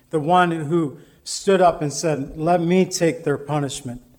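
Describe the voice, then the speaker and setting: A man speaks at a very slow pace with a fairly high pitch and fairly even intonation. Audible room echo surrounds his voice. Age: 50s. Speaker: pastor. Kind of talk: sermon.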